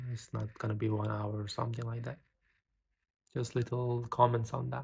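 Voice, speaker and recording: This speaker has a non-native accent and a somewhat breathy sound. The delivery comes at a moderate pace with monotone, flat intonation. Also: man, medium pitch for a man. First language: not English. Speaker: poet and vlogger. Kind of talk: casual vlog with poetry reading. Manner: reading aloud poems.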